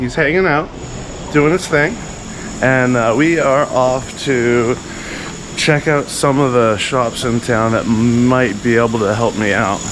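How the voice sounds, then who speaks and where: At a very slow pace, a man with a medium pitch and ordinary pitch variation is heard through audible room echo and noticeable background noise. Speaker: motorcycle travel vlogger. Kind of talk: casual vlog talk. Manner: halting, many fillers.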